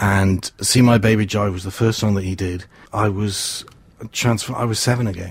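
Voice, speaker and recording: Somewhat breathy, a man speaks at a moderate pace with a fairly low pitch and fairly even intonation. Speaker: community radio volunteer. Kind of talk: casual chat.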